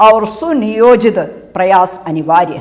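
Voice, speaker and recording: A woman speaks with a Malayalam accent in a fairly high voice and lively intonation. Audible room echo surrounds her. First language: Malayalam (speaking Hindi). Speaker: professor and translator. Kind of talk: lecture. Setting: web lecture recording. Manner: formal.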